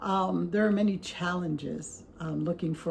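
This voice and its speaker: A woman's speech moves along at a moderate pace. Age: 60s. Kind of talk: casual talk to camera. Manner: conversational, hesitant.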